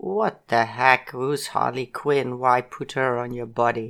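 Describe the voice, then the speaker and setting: A woman speaks at a fairly slow pace in a very deep, low voice with fairly even intonation, on a very clean recording with a silent background. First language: Dutch. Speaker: podcast co-host, host's mother. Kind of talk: casual chat. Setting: home recording. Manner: halting.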